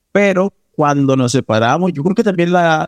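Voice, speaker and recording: This is an unremarkable speaking voice with ordinary pitch variation, at a fairly slow pace. The sound is dry and close, with no echo. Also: man. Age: 20s. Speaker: actor. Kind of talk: personal storytelling interview.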